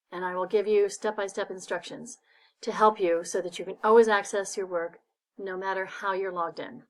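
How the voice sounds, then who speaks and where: Set against a silent background in a very clean recording, an unremarkable speaking voice moves at a moderate pace. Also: woman. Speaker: librarian. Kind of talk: tutorial.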